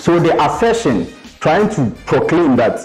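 Faint music sits in the background. Over it, a man talks fairly slowly. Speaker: debate contestant. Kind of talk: debate speech. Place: hall. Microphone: lapel.

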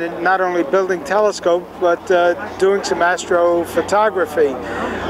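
A man's high-pitched voice with a New York accent, at a fairly slow pace, dry with no echo, over noticeable background noise. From New York City (Bronx). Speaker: telescope designer. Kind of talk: interview. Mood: warm, good-humored. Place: open country.

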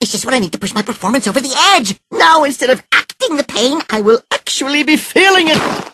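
A high-pitched cartoonish character voice at a very fast pace with hardly any pauses. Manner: theatrical, gushing, overdramatic.

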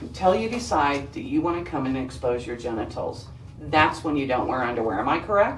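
Over noticeable background noise, a woman with a very deep, low pitch talks at a fairly quick pace, her pitch swinging very widely. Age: 50s. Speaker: police detective. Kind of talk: police interrogation. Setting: interrogation room. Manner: confrontational.

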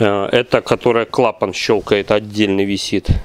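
A man speaks at a fairly slow pace, the sound dry with no echo. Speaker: generator repair workshop owner reviewing equipment. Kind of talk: product review tutorial. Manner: halting. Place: workshop. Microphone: phone near.

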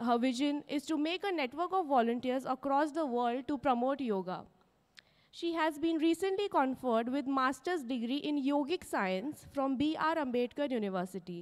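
Lively intonation from a woman's high-pitched voice. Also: moderate pace, quiet background. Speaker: university official introducing guest. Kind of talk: formal introduction speech. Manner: formal. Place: stage. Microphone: handheld.

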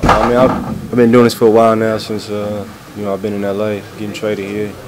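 With noticeable background noise behind him, a man talks at a very fast pace in a fairly low pitch and a monotone, flat intonation. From United States. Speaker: professional basketball player. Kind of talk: interview answer. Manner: soft-spoken.

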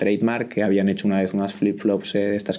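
A man talks with a dark, mellow tone. His pitch is fairly low. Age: 20s. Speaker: startup founder; guest. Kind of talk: interview. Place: meeting room. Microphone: studio mic.

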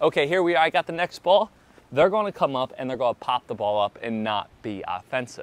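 This recording sounds dry, with no echo. The speaker is a man. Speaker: pickleball coach. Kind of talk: tutorial. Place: stadium.

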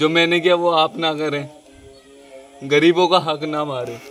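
Faint music plays in the background. A man speaks at a fairly slow pace with fairly even intonation. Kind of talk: confession statement to camera. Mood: remorseful, subdued. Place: open country. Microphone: phone near.

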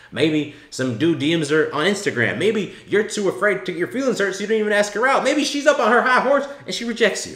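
The speech comes at a fairly quick pace with vocal fry. Audible room echo sits over a quiet background. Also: man. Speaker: dating coach youtuber. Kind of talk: commentary. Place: home room.

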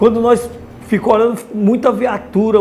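Light background noise behind a man's moderately paced voice. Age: 50s. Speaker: former criminal, prison inmate. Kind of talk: interview answer. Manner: casual colloquial storytelling. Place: meeting room. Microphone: lapel.

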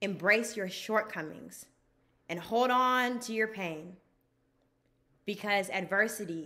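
A woman talks at a fairly slow pace with ordinary pitch variation. Her tone is bright and sharp. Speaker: graduating student. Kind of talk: commencement speech. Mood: proud, warm, encouraging. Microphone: phone near.

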